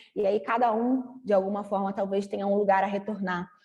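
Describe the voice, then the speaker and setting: The speaker has a normal speaking voice and talks at a moderate pace. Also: woman. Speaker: creative writing workshop teacher. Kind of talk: online workshop lecture.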